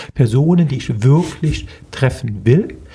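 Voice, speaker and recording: A man's voice with a dry, close sound and no echo, plus noticeable background noise. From Germany, Eifel (Prüm, near Belgian border). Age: 50s. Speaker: tech investor and entrepreneur. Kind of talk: interview. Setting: office room.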